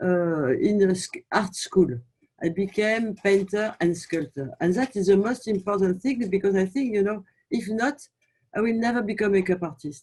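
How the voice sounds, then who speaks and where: A woman speaking in a French accent. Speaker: makeup artist and brand founder. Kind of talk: interview. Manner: halting.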